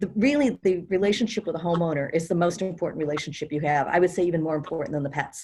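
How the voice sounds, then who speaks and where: A somewhat breathy woman's voice, fairly low in pitch, with ordinary pitch variation. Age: 60s. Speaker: experienced house sitter and author. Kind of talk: casual group discussion.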